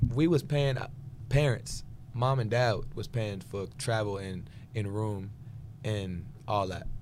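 A man with an American accent speaks at a fairly low pitch and a fairly slow pace, leaving long, frequent pauses. Audible room echo carries through the recording. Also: ordinary pitch variation. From Houston, Texas. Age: 20s. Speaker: gospel singer and producer. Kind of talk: casual interview chat.

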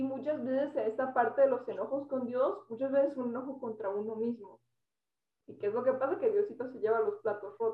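Lively intonation rides on a fairly quick pace. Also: woman, high pitch for a woman, big swings in loudness. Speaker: podcast co-host. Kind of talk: casual chat. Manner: loud; animated.

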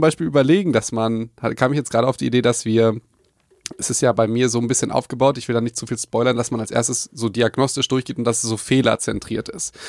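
The speech runs at a very fast pace. The sound is dry and close with no echo. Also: man. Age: 20s. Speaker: podcast host. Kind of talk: casual chat.

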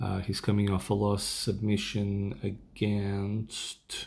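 A man is speaking. His voice is somewhat breathy. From Portugal. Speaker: MMA podcast host. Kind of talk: casual solo podcast rundown. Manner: casual with many fillers.

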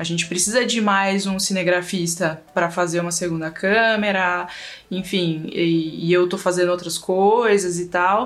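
Against noticeable background noise, a woman with a fairly low voice speaks fairly slowly with fairly even intonation. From São Paulo east zone, Brazil. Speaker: video editor. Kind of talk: casual chat. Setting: video call.

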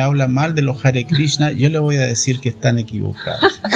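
A man talks at a fairly quick pace, at a medium pitch with ordinary pitch variation. Noticeable background noise runs under his voice. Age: 60s. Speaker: Hare Krishna devotee. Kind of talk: interview.

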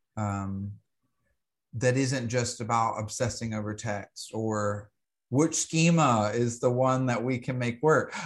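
A man with an American accent and a plain, everyday voice, medium pitch, ordinary pitch variation and a fairly slow pace. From US South, Alabama. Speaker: astrologer and herbalist. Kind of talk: interview conversation.

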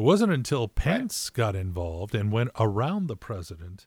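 A man's fairly low, somewhat breathy voice with lively intonation and an American accent, on a very clean recording with a silent background. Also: dry, close sound with no echo. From California. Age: 60s. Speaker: podcast co-host. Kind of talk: casual chat.

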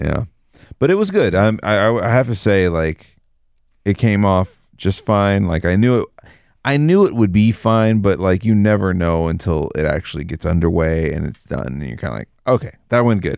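An ordinary speaking voice: a man at fairly low pitch, moving at a moderate pace with lively intonation. The recording is very clean with a silent background. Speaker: podcast co-host. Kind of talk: casual chat. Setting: studio. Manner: playful.

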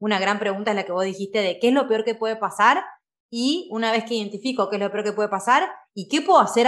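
Talking at a very fast pace, a woman with a medium pitch uses ordinary pitch variation. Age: 30s. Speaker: podcast host and life coach. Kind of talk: conversational interview.

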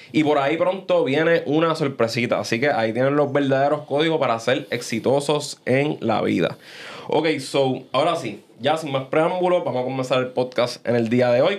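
Moderately paced man's voice, fairly high in pitch, with ordinary pitch variation and noticeable background noise. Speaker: podcast host. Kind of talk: casual chat. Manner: animated.

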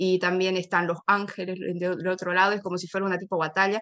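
Pitched in the medium range, a woman delivers her words in a monotone, flat intonation. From Bolivia, Santa Cruz de la Sierra. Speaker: Spanish teacher and linguist. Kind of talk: interview. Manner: halting, many fillers and repetitions.

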